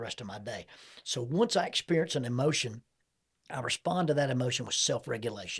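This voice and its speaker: A somewhat breathy man talks at a very fast pace in a medium pitch with ordinary pitch variation. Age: 60s. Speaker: counselor and podcast host. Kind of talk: interview conversation.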